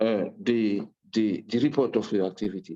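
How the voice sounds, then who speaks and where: A man's dark, mellow tone at a moderate pace. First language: French. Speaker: human rights commissioner. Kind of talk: panel speech. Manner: halting, many repetitions.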